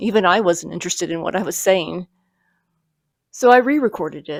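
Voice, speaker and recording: A woman speaks quietly. The sound is dry and close, with no echo. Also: very clean recording, silent background. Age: 50s. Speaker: YouTuber, parkour practitioner. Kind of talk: personal vlog reflection. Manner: quiet, low-key; hesitant, some repetitions.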